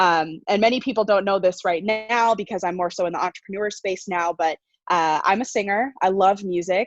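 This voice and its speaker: An energetic tone at a fairly quick pace with ordinary pitch variation, a dry, close sound with no echo, and music in the background. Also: woman. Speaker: coach and entrepreneur. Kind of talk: interview.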